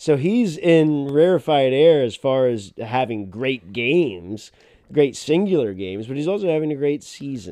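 A man speaks at a moderate pace in a plain, everyday voice. His pitch sits fairly high, and his intonation is lively. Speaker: football podcast co-host. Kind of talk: casual sports chat.

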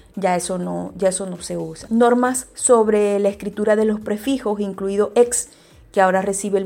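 Speaking at a moderate pace, a woman has a medium pitch, a dark, mellow tone and fairly even intonation. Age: 40s. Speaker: podcast host, digital copywriter. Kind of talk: educational monologue. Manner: halting, many repetitions and fillers.

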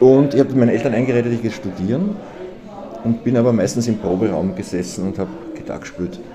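A man talks at a very fast pace. The recording carries audible room echo and noticeable background noise. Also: medium pitch for a man, ordinary pitch variation. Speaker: journalist and cabaret artist. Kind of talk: casual interview. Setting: restaurant.

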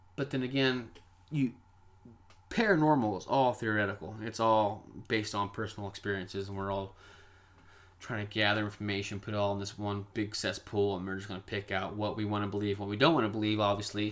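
In an American accent, a man with a plain, everyday voice speaks at a fairly quick pace and fairly low pitch, his intonation fairly even, on a very clean recording with a silent background. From Kansas. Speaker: paranormal podcast host. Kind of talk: casual monologue.

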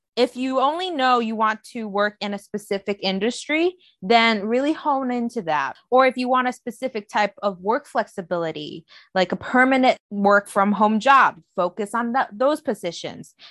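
Against a quiet background, an unremarkable speaking voice moves at a moderate pace with lively intonation and hardly any pauses, the sound dry and close with no echo. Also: woman, fairly high pitch for a woman. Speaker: podcast co-host, recent graduate. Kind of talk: casual chat.

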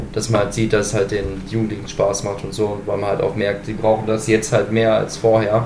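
Talking rather quickly, a man can be heard with room echo and clearly present background noise. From Sauerland, Germany. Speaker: youth centre helper. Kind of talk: casual chat.

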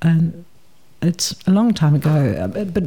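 A woman speaks with a slight South African accent. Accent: South African English, fairly light. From South Africa, Port Elizabeth. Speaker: retired person, film festival volunteer. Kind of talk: casual interview chat about migration.

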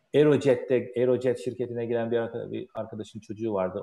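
A man speaks in a dark, mellow tone. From Turkey. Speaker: aerospace engineer. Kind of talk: interview.

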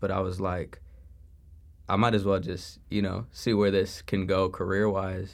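Speaking very slowly, a man with an American accent uses a fairly low pitch. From Chicago suburbs, US Midwest. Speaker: college student. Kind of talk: casual chat.

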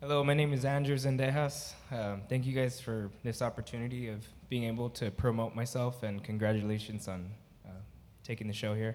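A man speaks at a fairly quick pace in an unremarkable speaking voice. His pitch is medium, and his intonation stays fairly even. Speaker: audience member and podcaster. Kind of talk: audience question. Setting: stage with audience.

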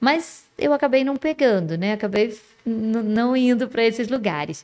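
Speaking fairly slowly, a woman has a fairly high pitch and lively intonation. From Resende, interior of Rio de Janeiro state, Brazil. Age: 50s. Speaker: women's mentor. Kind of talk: casual chat.

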